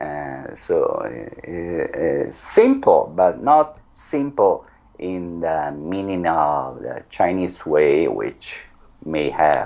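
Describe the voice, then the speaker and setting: A man speaks with an Italian accent at a very slow pace. Noticeable background noise runs behind him. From Italy. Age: 40s. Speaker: language teacher. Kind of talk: interview.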